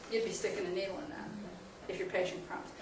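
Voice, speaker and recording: The speaker has an American accent. There is noticeable background noise and audible room echo. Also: woman. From Pittsburgh, US. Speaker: emergency physician lecturer. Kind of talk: lecture. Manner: fast; casual, animated.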